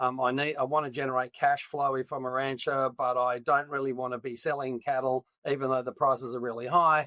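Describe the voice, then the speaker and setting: With an Australian accent, a man speaks at a fairly quick pace and medium pitch, his tone bright and sharp, his intonation flat and monotone, with hardly any pauses. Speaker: agtech company founder. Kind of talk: interview. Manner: hesitant, many fillers.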